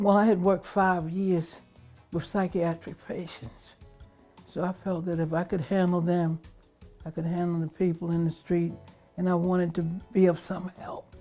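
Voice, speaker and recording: A woman with a fairly low pitch speaks at a moderate pace in a monotone, flat intonation, leaving long, frequent pauses. Music plays in the background. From Baltimore, Maryland, USA. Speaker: retired police officer. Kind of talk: interview answer.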